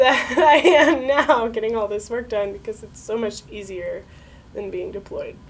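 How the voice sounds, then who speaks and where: Against noticeable background noise, a woman talks at a fairly slow pace in a fairly high pitch. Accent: American. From Connecticut, USA. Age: 20s. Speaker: navy veteran, nursing student. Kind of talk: interview answer. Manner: casual, conversational.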